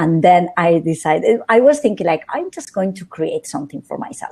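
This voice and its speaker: This woman has a fairly low pitch and a dark, mellow tone, speaking with a Spanish accent at a moderate pace. The recording is very clean, with a silent background. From northern Spain, Santander. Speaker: social media strategist. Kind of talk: interview.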